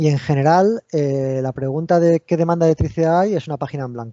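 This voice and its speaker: The man talks at a very fast pace. His pitch varies in an ordinary way. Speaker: university researcher, engineer. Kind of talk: technical talk at online seminar. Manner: hesitant, many repeated words and fillers.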